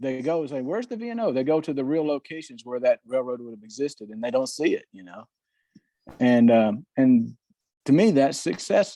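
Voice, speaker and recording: This man talks at a fairly quick pace in a dark, mellow tone with a Southern US accent. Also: medium pitch for a man, lively intonation. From US South. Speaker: model railroader. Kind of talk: casual chat.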